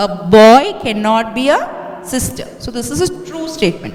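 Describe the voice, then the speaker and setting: Speaking at a very slow pace, a woman with a fairly high pitch makes very wide pitch swings amid audible room echo and noticeable background noise. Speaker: maths teacher. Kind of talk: lecture.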